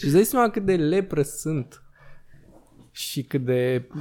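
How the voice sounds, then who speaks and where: This man's voice has a fairly high pitch, a dark, mellow tone and lively intonation. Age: 20s. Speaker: podcast host. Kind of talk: casual chat. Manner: animated.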